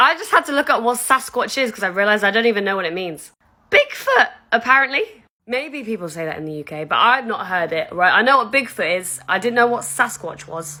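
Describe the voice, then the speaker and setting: A woman with a British accent speaks at a fairly quick pace in an animated, bright, sharp tone. Her fairly high pitch swings very widely, and her loudness rises and falls a lot. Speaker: content creator. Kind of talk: casual chat.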